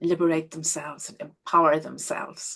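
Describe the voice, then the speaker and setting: A woman with an Irish accent speaks against a quiet background. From Ireland. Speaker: healing coach. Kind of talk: webinar presentation. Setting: live online stream.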